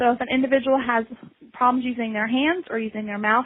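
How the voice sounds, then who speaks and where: This woman talks at a very fast pace. Her pitch is fairly high with ordinary variation. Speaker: assistive technology specialist. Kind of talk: webinar presentation. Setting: online webinar.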